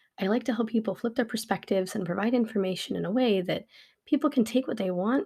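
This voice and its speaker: Somewhat breathy, a woman speaks at a fairly high pitch with ordinary pitch variation on a very clean recording with a silent background. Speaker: podcast host and life coach. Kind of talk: solo podcast monologue. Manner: fast; unedited, with stutters and self-corrections.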